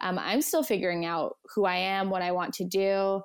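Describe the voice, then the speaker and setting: A woman with a Canadian accent in an ordinary speaking voice, with ordinary pitch variation. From Canada, Edmonton. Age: 20s. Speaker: content creator and brand marketer. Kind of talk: casual interview chat.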